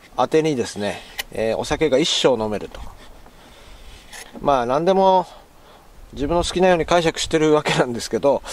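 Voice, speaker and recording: A man with a Tochigi accent, lively intonation and a moderate pace, in a dry sound with no echo. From Tochigi, Japan. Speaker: outdoor camping vlogger. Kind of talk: casual talk to camera. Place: waterside. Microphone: phone near.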